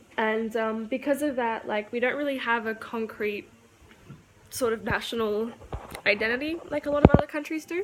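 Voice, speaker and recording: A woman with an Australian accent speaks at a moderate pace in a fairly high pitch, with noticeable background noise. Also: ordinary pitch variation. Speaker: YouTuber. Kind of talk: casual vlog monologue. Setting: walking around at home. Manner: casual, filler-heavy.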